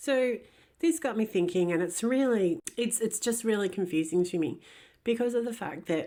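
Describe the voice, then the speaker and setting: In a very clean recording with a silent background, a woman with an Australian accent speaks at a moderate pace with lively intonation, her fairly high voice having a dark, mellow tone. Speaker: ex-Jehovah's Witness commentator. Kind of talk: casual commentary monologue.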